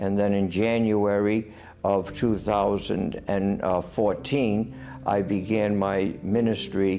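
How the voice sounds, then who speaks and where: Fairly low in pitch with fairly even intonation, a man with a Rhode Island accent is heard in audible room echo. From US Northeast, Rhode Island. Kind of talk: interview testimony.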